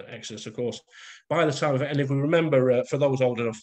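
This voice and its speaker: A man with a Lancashire accent, ordinary pitch variation, and a quiet background. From northern England, Bolton. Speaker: author and masonic lecturer. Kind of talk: lecture. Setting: video call. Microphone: video call.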